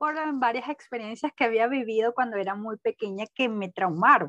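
A woman with a Caracas accent speaks in a high pitch, the sound dry and close with no echo. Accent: Venezuelan Spanish (Caracas). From Venezuela (Caracas). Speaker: business administrator. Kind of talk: interview.

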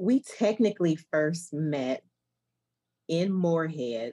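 Her voice has a dark, mellow tone and a fairly low pitch, and this woman's intonation is lively. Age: 50s. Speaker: guest, old friend of host. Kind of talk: casual chat.

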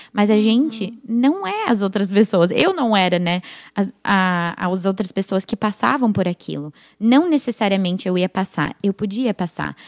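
An unremarkable speaking voice at a moderate pace with ordinary pitch variation, in a dry, close sound with no echo on a very clean recording with a silent background. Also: woman. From United States (Brazilian family). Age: 20s. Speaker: church member, young mother. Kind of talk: casual chat.

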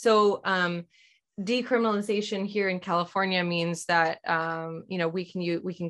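In an unremarkable speaking voice, a woman talks at a fairly quick pace with fairly even intonation. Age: 30s. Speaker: women's coach and yoga teacher. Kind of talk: podcast interview.

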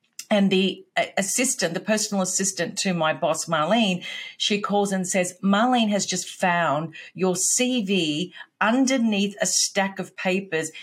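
In a very clean recording with a silent background, a woman with an Australian accent speaks at a fairly slow pace and medium pitch, somewhat breathy. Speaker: business coach, former sales executive. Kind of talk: casual interview chat.

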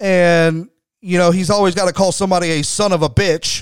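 This man's voice sits at a high pitch. He talks at a fairly quick pace with fairly even intonation. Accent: American. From Texas. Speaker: wrestling podcast host and former indie booker. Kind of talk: casual solo commentary podcast. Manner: conversational, frequent fillers and repetitions.

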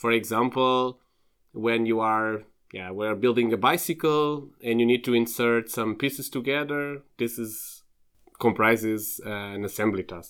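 On a very clean recording with a silent background, a man speaks at a fairly slow pace and medium pitch with ordinary pitch variation. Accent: Portuguese. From Portugal, Lisbon. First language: Portuguese. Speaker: PhD student in robotics. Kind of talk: interview.

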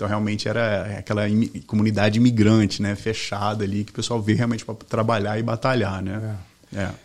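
Pitched fairly low, a man speaks at a fairly quick pace in a monotone, flat intonation. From Brazil, Belo Horizonte (Minas Gerais), then Boston from age 13. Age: 40s. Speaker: mortgage team leader. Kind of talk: interview conversation. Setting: studio.

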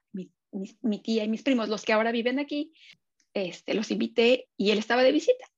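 Speech in a Mexican accent at a moderate pace. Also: woman. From Mexico City. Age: 50s. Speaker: social psychologist and business owner. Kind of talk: casual interview chat.

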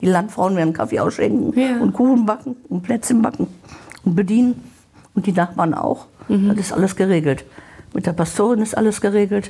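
Over noticeable background noise, a woman speaks at a medium pitch with ordinary pitch variation. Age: 70s. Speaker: hospice patient. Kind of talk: interview.

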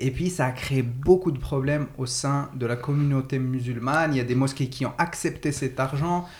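A man talks at a moderate pace with hardly any pauses. His medium-pitched voice is somewhat breathy, with fairly even intonation. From Morocco. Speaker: podcast host. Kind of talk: casual discussion. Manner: halting.

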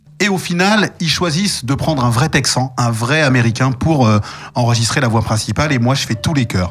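This man speaks at a medium pitch and a moderate pace, with lively intonation and very even loudness, against noticeable background noise. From Paris, France. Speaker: voice actor and stage performer. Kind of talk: interview.

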